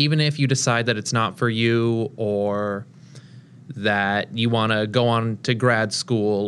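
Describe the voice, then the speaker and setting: A man talks in a normal speaking voice at medium pitch with fairly even intonation. The background is quiet. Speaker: national service member. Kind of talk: interview.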